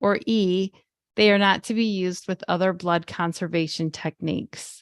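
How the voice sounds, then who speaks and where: Speech at a moderate pace with ordinary pitch variation comes through. The sound is dry and close with no echo, and the background is quiet. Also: woman, medium pitch for a woman. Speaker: webinar co-host. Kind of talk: reading aloud quiz questions. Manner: clear reading.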